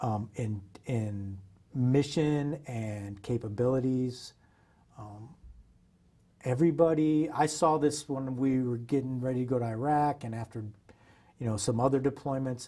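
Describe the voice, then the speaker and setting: In an American accent, a man speaks at medium pitch with a dark, mellow tone. He sounds somewhat breathy. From Iowa, USA. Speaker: Special Forces veteran. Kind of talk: oral history interview answer. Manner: casual, conversational.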